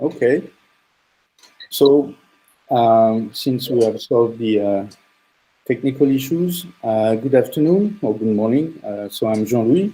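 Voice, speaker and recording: A man's voice with a strong French accent, a dark, mellow tone, and medium pitch, lively intonation at a fairly slow pace, with long, frequent pauses. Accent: French, thick. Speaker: startup CEO and engineer. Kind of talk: presentation talk.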